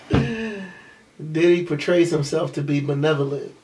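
A man speaks at a fairly slow pace in a fairly high voice, with noticeable background noise. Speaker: podcast co-host. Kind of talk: casual chat. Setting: studio. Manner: animated.

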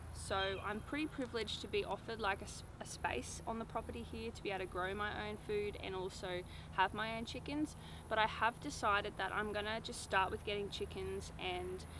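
Recorded with a dry sound with no echo, a woman speaks at a fairly quick pace amid noticeable background noise. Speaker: off-grid lifestyle vlogger. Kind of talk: casual vlog chat. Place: garden.

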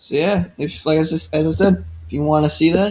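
Delivered at a fairly slow pace, the speech carries an American accent and ordinary pitch variation. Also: man. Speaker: gaming YouTuber. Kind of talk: casual channel update. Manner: casual, with filler words.

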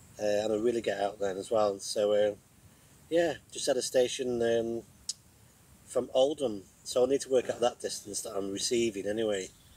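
A man's slightly mellow voice at a fairly low pitch. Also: ordinary pitch variation, moderate pace.

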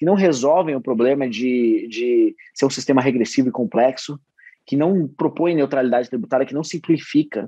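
Against a quiet background with a dry sound and no echo, a man speaks fairly quickly at a fairly high pitch, with ordinary pitch variation and a dark, mellow tone. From Brazil. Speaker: state politician. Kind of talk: casual interview. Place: home room. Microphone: video call.

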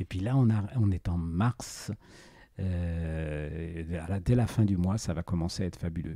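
A man speaks at a fairly slow pace in a very deep, low pitch with a dark, mellow tone. The recording is very clean and the background silent. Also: ordinary pitch variation. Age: 60s. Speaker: retired journalist and bird photographer. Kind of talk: interview. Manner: halting.

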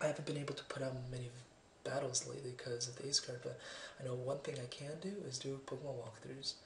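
Words come at a very fast pace, with audible room echo and light background noise. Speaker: gamer. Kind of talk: video game let's play commentary. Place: home room.

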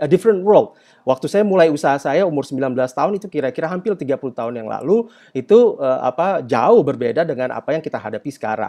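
A man speaks fairly quickly, his pitch swinging very widely, over a quiet background. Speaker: company CEO and entrepreneur; webinar guest. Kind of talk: webinar talk. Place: home room. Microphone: video call.

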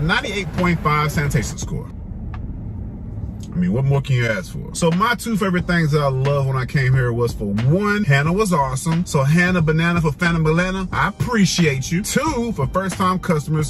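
With clear music playing behind him, a man talks fairly quickly, the sound dry and echo-free. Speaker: food vlogger. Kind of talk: casual vlog review. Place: car. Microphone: phone near.

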